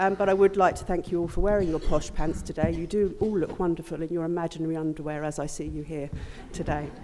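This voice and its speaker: Against noticeable background noise, a woman speaks very fast at a fairly low pitch with fairly even intonation. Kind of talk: conference presentation with role-play.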